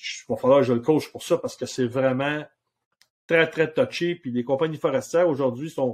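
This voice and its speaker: This man has a Quebec accent and a fairly high pitch. He talks at a moderate pace. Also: ordinary pitch variation. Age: 60s. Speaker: outfitter and hunting guide. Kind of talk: casual interview chat.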